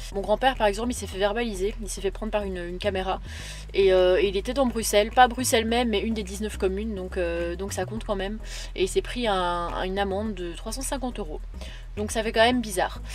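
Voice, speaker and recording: Amid noticeable background noise and audible room echo, a woman speaks at a very fast pace with big swings in loudness. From Belgium. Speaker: travel vlogger. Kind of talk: casual vlog. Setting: in a camper van. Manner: hesitant, many fillers.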